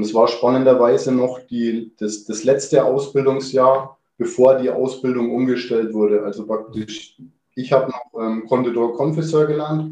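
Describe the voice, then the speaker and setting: A man speaks at a moderate pace, his medium pitch carried by fairly even intonation. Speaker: chef. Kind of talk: interview. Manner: hesitant, many filler words.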